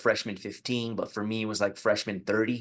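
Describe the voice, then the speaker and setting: Here a man with an American accent speaks at a medium pitch and a fairly quick pace. His intonation is monotone and flat, over a quiet background. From US, Mexican American household. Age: 40s. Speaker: podcast host. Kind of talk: casual podcast monologue. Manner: casual, many fillers.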